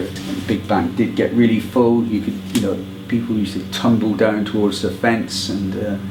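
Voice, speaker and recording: In a West Country accent, a man speaks at a moderate pace in a monotone, flat intonation, with audible room echo and noticeable background noise. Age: 70s. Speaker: football fan. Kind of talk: oral history interview. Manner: hesitant with many fillers.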